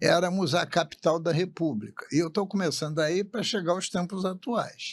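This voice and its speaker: Moderate pace and ordinary pitch variation in a man's high voice. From Rio de Janeiro city, Brazil. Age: 80s+. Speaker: state politician. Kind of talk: interview.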